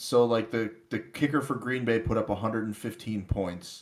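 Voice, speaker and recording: The recording is very clean, with a silent background. A man talks at a moderate pace in a plain, everyday voice. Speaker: fantasy football podcast co-host. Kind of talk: casual chat.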